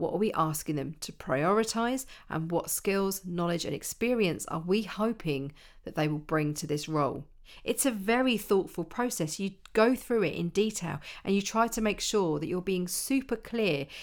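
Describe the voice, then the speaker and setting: A woman speaks at a moderate pace with a medium pitch and lively intonation in a normal speaking voice, on a very clean recording with a silent background. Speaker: internal communication consultant and podcast host. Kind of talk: solo podcast monologue giving advice.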